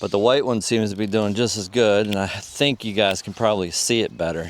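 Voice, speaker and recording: At a fairly quick pace, a man with a normal speaking voice talks at a fairly low pitch with fairly even intonation. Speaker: fishing video creator. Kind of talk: outdoor fishing commentary. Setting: outdoors at a pond. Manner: casual, relaxed.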